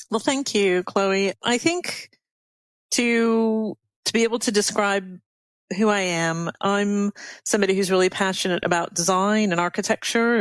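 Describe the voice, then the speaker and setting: A woman with an unremarkable speaking voice speaks at medium pitch and a moderate pace with ordinary pitch variation. Her loudness stays very even in a very clean recording with a silent background. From North America. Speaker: architect and executive director. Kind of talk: podcast interview.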